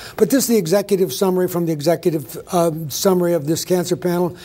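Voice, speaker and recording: Ordinary pitch variation in a dark, mellow tone. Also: man. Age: 70s. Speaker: physician giving a conference talk. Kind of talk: conference presentation. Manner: fast.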